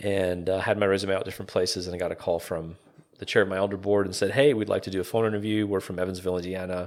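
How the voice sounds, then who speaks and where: Here a man talks at a very fast pace. His very deep, low voice stays monotone and flat. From Calgary, Alberta, Canada. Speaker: pastor. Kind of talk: casual interview. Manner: halting, many fillers.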